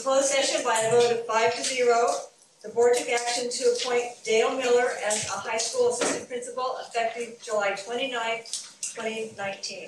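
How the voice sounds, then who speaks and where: Loud background noise and audible room echo around speech at a moderate pace. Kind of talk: formal meeting chairing. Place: meeting room.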